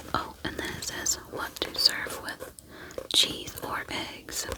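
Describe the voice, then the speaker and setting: Behind the voice there is noticeable background noise. A woman whispers very slowly. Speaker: ASMR creator. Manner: whispering, soft, slow, relaxing.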